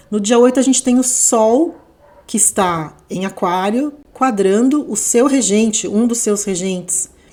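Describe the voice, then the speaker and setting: The speaker uses ordinary pitch variation over noticeable background noise. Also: woman, fairly high pitch for a woman. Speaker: astrologer. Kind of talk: astrology forecast monologue. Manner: unhurried, not fast; conversational, with fillers.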